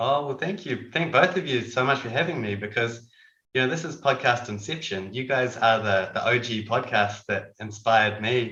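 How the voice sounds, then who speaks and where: With a New Zealand accent, a man talks at a moderate pace in a medium pitch, using a bright, sharp tone and ordinary pitch variation. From New Zealand, Dunedin. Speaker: ophthalmic surgeon. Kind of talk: casual chat.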